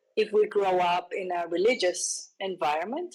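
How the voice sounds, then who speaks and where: A woman is speaking. She talks with a Spanish accent. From Colombia. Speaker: psychology method instructor. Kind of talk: interview.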